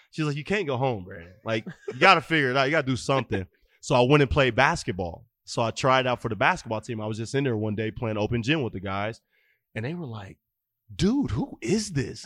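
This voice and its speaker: With an American accent, a man talks at a very fast pace and medium pitch, his tone animated and his intonation lively, in a very clean recording with a silent background. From Fort Wayne, Indiana. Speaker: former college football receiver. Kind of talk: casual chat.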